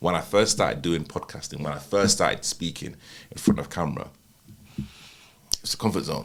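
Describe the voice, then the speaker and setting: Speaking at a fairly quick pace but with long, frequent pauses, a man has a very deep, low pitch, vocal fry, and ordinary pitch variation. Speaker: wedding videographer and podcaster. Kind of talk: podcast conversation. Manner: halting, many fillers.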